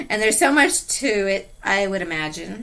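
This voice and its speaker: A loud woman speaks at a fairly high pitch in a bright, sharp tone. Her pitch swings very widely at a fairly slow pace. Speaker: podcast host. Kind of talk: interview. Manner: soft-spoken.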